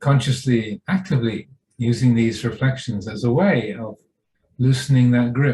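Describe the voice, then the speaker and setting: A somewhat breathy man's voice, medium in pitch, with a dark, mellow tone and ordinary pitch variation. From England. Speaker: Buddhist monk and meditation teacher. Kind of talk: guided meditation. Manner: slow, calm, unhurried, with long pauses.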